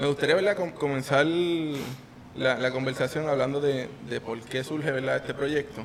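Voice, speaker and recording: A man with a Puerto Rican accent at a very slow pace with hardly any pauses, fairly high pitch and fairly even intonation, over noticeable background noise. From Puerto Rico, Yauco. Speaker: podcast host. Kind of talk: interview.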